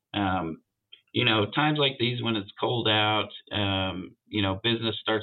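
A man talks in a fairly low pitch at a fairly slow pace, with fairly even intonation. His is an unremarkable speaking voice. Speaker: auto shop vice president. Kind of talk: interview, casual conversation.

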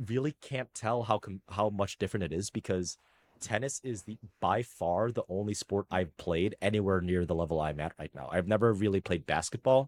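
In a dry, close sound with no echo, a man with an ordinary speaking voice and a fairly low pitch talks at a moderate pace with lively intonation. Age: 30s. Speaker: tennis coach and software engineer. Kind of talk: casual chat. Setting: video call.

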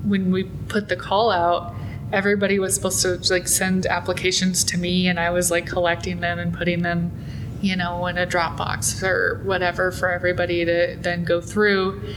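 In an American accent, a woman talks at a moderate pace with a fairly low pitch and monotone, flat intonation. Her loudness stays very even, with noticeable background noise and audible room echo. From US Midwest, small town in eastern Nebraska. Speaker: museum collections and exhibitions manager. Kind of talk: casual interview. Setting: museum lobby.

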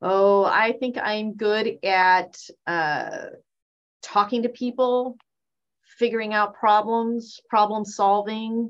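A woman speaks at a very slow pace with a fairly high pitch. The background is quiet. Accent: Californian. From US West Coast. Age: 50s. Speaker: surgeon. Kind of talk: casual interview.

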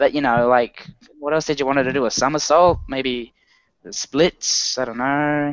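A man with an Australian accent, fairly high in pitch, at a fairly slow pace and with fairly even intonation. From Australia, Sydney. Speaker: podcast co-host. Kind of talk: casual chat.

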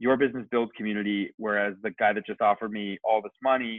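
In a flat, monotone delivery, a man talks at a medium pitch. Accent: Canadian. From Kitchener, Ontario, Canada. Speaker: barber and barbershop owner. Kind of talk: casual interview chat.

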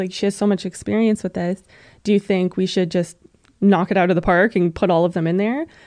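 Heard on a very clean recording with a silent background, a woman talks at a moderate pace in an unremarkable speaking voice, medium in pitch, with fairly even intonation. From western Canada, Alberta. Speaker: veterinary technician and animal welfare campaigner. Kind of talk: interview.

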